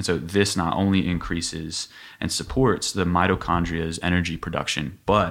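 Fairly even intonation at a moderate pace, in a very clean recording with a silent background. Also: man. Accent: American. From Dayton, Ohio. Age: young. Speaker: personal trainer. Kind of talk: casual chat.

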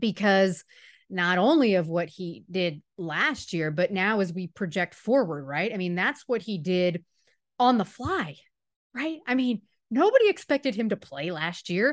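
Over a quiet background, a woman uses a normal speaking voice at a medium pitch with lively intonation. Her pace is fairly slow, and the sound is dry and close with no echo. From Miami, Florida. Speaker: sports reporter. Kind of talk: casual interview.

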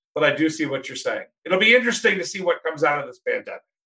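Lively intonation and a bright, sharp tone come from a man. He has an American accent. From Washington DC area. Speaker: magazine publisher and co-host. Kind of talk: casual interview chat. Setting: video call.

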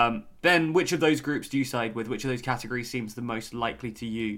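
A man's speech in a British accent, with ordinary pitch variation. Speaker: podcast host. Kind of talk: casual chat. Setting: remote recording.

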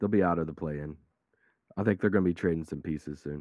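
This man's voice is hoarse and very deep, low in pitch. His intonation stays fairly even. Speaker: guest sports commentator. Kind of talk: casual sports talk show banter. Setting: remote call.

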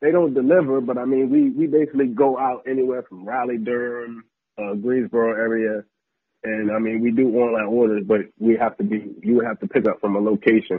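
A man talks at a fairly quick pace in an American accent, with a medium pitch and ordinary pitch variation. He has a normal speaking voice. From US, military family (Texas, Virginia, New Jersey). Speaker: sports blogger and videographer. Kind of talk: casual chat.

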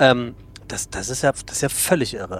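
Medium pitch from a man, moderate delivery, noticeable noise in the background. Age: 40s. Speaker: podcast host. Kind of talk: casual interview. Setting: on a regional train.

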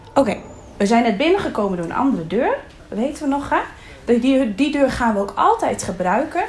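A woman with a high pitch and very wide pitch swings talks at a fairly quick pace over noticeable background noise. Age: 30s. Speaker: kindergarten teacher. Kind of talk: classroom talk.

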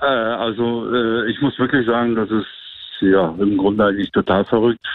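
A fairly low male voice at a moderate pace with fairly even intonation. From Germany. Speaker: guest telling a dating story. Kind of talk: storytelling.

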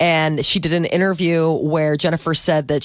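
In an ordinary speaking voice, a woman talks at a moderate pace with fairly low pitch and fairly even intonation. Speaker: radio morning show host. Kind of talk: radio talk show banter. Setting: radio studio.

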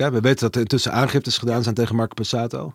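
Speaking very fast, a man comes through on a very clean recording with a silent background. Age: 30s. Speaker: media journalist. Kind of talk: interview. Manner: halting.

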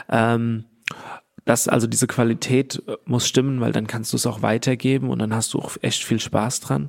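Here a man talks at a moderate pace, with a medium pitch and ordinary pitch variation. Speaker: entrepreneur. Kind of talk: interview. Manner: halting, many fillers.

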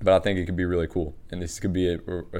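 This man has a very deep, low pitch and a dark, mellow tone. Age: 20s. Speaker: basketball trainer and podcast host. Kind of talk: casual solo podcast talk.

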